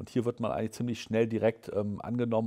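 Against a quiet background, a man talks at a very fast pace in a fairly low voice with a dark, mellow tone. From southern Lower Saxony, Germany. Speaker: state environment minister. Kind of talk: interview. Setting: newsroom studio. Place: studio.

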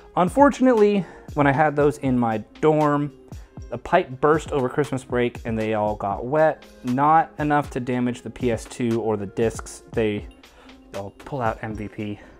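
Faint music plays in the background as a man speaks. He keeps a fairly slow pace with ordinary pitch variation. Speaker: room tour host. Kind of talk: casual vlog chat. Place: home room.

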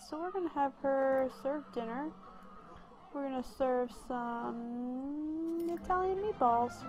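Noticeable background noise sits under a woman speaking fairly slowly in a high voice. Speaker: gameplay commentator. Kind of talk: casual gameplay commentary.

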